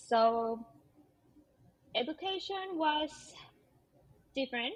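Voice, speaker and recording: Lively intonation marks a woman speaking with a Peruvian accent. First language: Spanish. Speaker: teacher. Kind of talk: casual interview. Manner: hesitant, many fillers.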